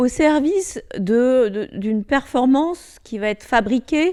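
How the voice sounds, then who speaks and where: In a very clean recording with a silent background, a woman speaks in a dark, mellow tone with lively intonation. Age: 60s. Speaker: former corporate executive. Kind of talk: interview. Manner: hesitant with frequent fillers.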